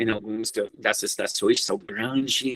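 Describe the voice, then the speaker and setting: A man with an English accent is heard in a dry, close sound with no echo. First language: English (speaking Portuguese). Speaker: researcher. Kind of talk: lecture. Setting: seminar. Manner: halting.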